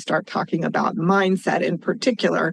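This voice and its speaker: A woman with an American accent talks at a fairly quick pace and a medium pitch. Her intonation stays fairly even over noticeable background noise. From US West Coast, California Central Coast. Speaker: financial consultant and advocate. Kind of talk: interview.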